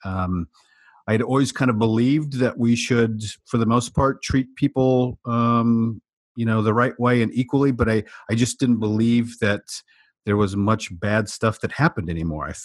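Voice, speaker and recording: A man with a US Midwestern accent speaks at a moderate pace in a medium pitch with ordinary pitch variation, the sound dry and close with no echo. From US Midwest, small-town Iowa. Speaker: diversity and inclusion speaker and consultant. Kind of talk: interview conversation. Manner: halting, many fillers and repeats.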